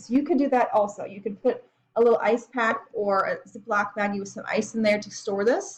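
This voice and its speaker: Fairly high-pitched, somewhat breathy woman's voice with ordinary pitch variation at a fairly quick pace. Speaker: college biology instructor. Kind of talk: tutorial. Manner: fast; casual.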